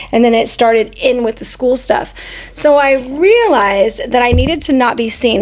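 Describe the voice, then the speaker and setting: Against noticeable background noise, a woman with a high pitch and ordinary pitch variation speaks at a moderate pace. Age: 40s. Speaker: podcast co-host. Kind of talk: personal storytelling. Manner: casual.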